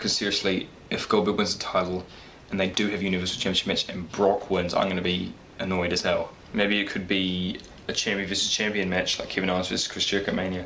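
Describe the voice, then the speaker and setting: This man talks at a fairly quick pace in a very deep, low voice. He is quiet, with monotone, flat intonation. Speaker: wrestling YouTuber. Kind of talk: casual vlog predictions. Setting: home at night, parents asleep. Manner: speaking quietly; halting.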